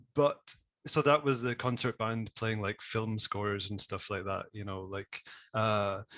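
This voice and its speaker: Someone with a west of Scotland accent speaks at a moderate pace with ordinary pitch variation. The sound is dry and close with no echo, over a quiet background. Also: man. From Scotland, west coast (Isle of Bute). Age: 30s. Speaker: conversation designer and audio specialist. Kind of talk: interview.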